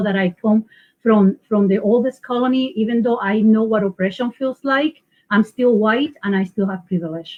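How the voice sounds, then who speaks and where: A woman speaks in a Puerto Rican accent, her voice somewhat breathy. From Puerto Rico. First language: Spanish. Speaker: local election candidate. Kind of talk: panel interview. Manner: halting.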